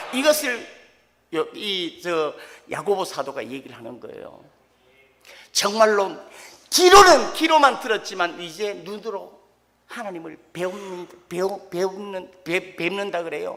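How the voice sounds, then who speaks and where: Long, frequent pauses interrupt delivery that proceeds at a fairly slow pace. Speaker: pastor. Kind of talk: sermon.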